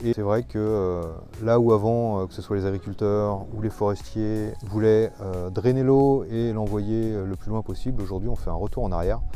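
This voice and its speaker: Over music in the background, a man with a fairly low voice talks at a moderate pace. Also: fairly even intonation. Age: 40s. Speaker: ecologist. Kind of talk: interview. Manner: hesitant, many filler sounds.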